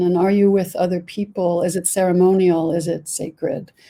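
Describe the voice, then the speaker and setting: A woman with an American accent speaks at a fairly quick pace in a fairly low pitch with a dark, mellow tone. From United States. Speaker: board member of a psychedelic research organization. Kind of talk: panel discussion.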